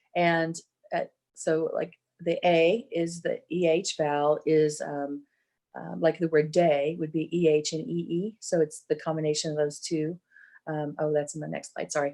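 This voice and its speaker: With an American accent, a woman speaks in a very deep, low pitch, a dark, mellow tone and monotone, flat intonation. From Texas. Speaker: barbershop singing judge and presenter. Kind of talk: online workshop lecture. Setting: virtual event. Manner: hesitant, many ums.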